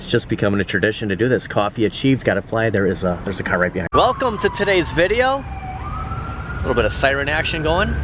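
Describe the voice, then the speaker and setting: A man talks at a very fast pace with hardly any pauses. Noticeable background noise is present. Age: 40s. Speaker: deal-hunting vlogger. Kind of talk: walk-and-talk vlog. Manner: casual, upbeat.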